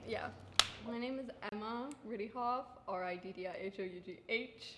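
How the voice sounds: A woman's medium-pitched voice with audible room echo. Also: ordinary pitch variation, moderate pace.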